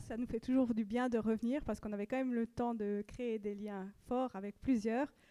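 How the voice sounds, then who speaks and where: A woman speaks with a slight Swiss French accent in a high pitch with a dark, mellow tone. The sound is dry and close, with no echo. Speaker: pastor's wife. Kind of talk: church announcements.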